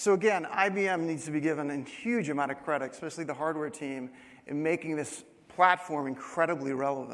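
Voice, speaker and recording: At a fairly quick pace, a man with a fairly high pitch and ordinary pitch variation talks amid audible room echo. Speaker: company CEO giving conference keynote. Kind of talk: conference presentation. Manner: fast.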